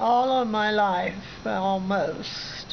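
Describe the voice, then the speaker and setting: Over light background noise, a woman with a Midwestern American accent talks very slowly with fairly even intonation. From Southern Ohio, USA. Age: 80s+. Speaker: retired minister and missionary. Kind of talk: interview answer. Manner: hesitant, halting. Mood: calm, earnest, reflective. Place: home room. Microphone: phone near.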